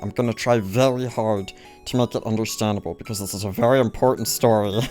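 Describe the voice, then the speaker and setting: A man puts on a raspy character voice. Clear music plays in the background. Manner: annoying, cartoonish.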